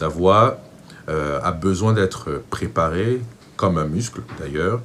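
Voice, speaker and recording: A man's very slow, very deep, low voice with lively intonation, in a Cameroonian accent. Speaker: vocal coach. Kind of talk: tutorial.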